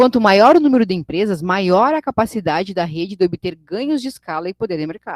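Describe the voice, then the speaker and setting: Very wide pitch swings run through a woman's fairly quick speech, the sound dry and close with no echo. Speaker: teacher. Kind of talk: online lecture. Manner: fast.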